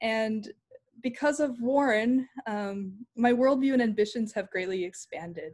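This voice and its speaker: A woman's somewhat breathy voice at a fairly slow pace, with ordinary pitch variation and a quiet background. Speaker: PhD candidate; candidate. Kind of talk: lecture. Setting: video call. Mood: grateful, warm, emotional. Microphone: video call.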